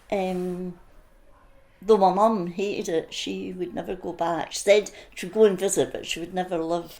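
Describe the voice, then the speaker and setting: A woman with an Edinburgh accent speaks at a moderate pace and medium pitch, her dark, mellow tone flat and monotone while her loudness swings widely. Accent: Scottish (Edinburgh). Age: 80s+. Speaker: interviewee sharing childhood memories. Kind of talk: oral history interview.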